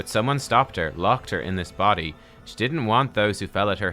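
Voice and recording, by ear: Natural-voiced reading aloud.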